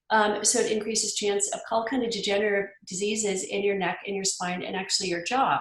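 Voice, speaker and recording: The speech moves at a fairly quick pace with fairly even intonation. Room echo is audible. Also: woman. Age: 50s. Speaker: health practitioner. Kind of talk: podcast interview.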